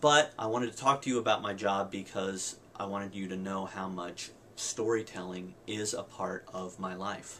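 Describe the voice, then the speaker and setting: A man with a very deep, low voice speaks at a moderate pace, his intonation fairly even, over noticeable background noise. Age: 30s. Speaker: English professor, video blogger. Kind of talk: personal video diary.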